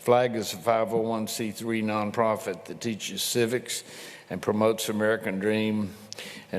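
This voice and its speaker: A man's fairly low voice at a moderate pace amid noticeable background noise. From Louisiana. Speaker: event host introducing speaker. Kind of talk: speaker introduction.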